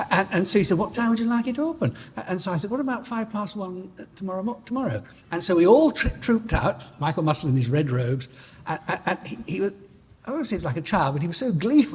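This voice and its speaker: In a Northern English accent, a man talks very fast in a high pitch that makes very wide swings. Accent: general Northern English. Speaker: barrister. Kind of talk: anecdote at an anniversary dinner. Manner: halting, many repetitions and false starts.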